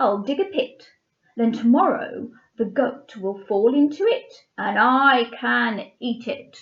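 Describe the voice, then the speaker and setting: A woman's gruff, bellowing put-on character voice, high in pitch and fairly slow in pace. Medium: read story. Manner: gruff, roaring.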